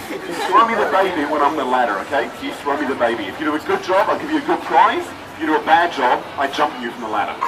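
A man at a very fast pace, animated in tone, with hardly any pauses and crowd noise in the background. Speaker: street performer comedian. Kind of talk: street comedy show patter to a live crowd. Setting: outdoors, live audience. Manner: animated, joking, quick-witted crowd banter; constantly interrupts himself with laughs and asides. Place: street. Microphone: camera far.

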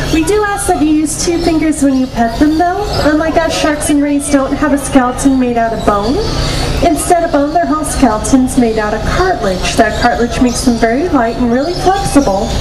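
A woman talks at a fairly quick pace. Noticeable background noise sits behind her. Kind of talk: public safety announcement. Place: waterside.

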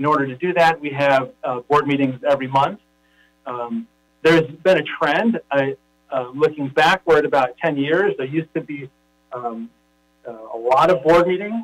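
Recorded with a dry, close sound and no echo, a man with an American accent speaks at a moderate pace in a fairly high pitch, with ordinary pitch variation and an ordinary speaking voice. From Los Angeles. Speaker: school board executive officer. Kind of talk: public meeting presentation. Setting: online video meeting.

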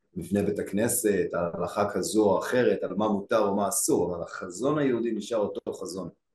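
A man is heard with audible room echo against a quiet background. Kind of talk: casual study discussion. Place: home room. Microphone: video call.

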